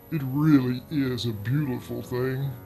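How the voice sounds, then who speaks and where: With music in the background, a man speaks at a medium pitch with ordinary pitch variation and an American accent. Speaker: horror story narrator. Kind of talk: horror story narration.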